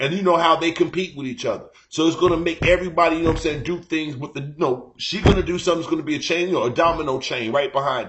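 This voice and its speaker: The voice is loud and very fast, with hardly any pauses and ordinary pitch variation. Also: man, high pitch for a man. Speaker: live-stream host. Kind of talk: casual chat.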